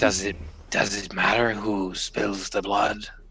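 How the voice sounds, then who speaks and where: A man whispering in a raspy, put-on character voice, fairly slow, over light background noise. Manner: raspy whisper.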